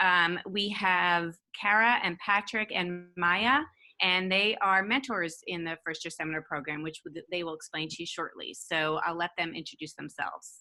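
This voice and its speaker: A woman speaks at a moderate pace in a fairly low voice with a bright, sharp tone and ordinary pitch variation. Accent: New York. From New York. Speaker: university administrator. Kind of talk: presentation. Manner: hesitant with fillers.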